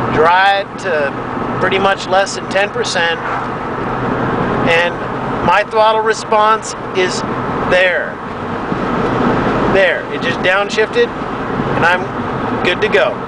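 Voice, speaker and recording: Through loud background noise, a man speaks with long, frequent pauses in a dry sound with no echo. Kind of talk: casual vlog chat. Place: car. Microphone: phone near.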